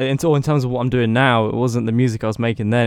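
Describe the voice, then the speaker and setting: The voice carries a British accent on a very clean recording with a silent background. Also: man. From UK. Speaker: music producer and student. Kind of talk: casual interview. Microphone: new microphone bought for podcast.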